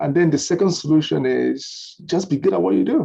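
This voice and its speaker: Speaking at a fairly quick pace with a Nigerian accent, a man has a dark, mellow tone and vocal fry. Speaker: lawyer and law firm owner. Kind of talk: webinar interview. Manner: animated.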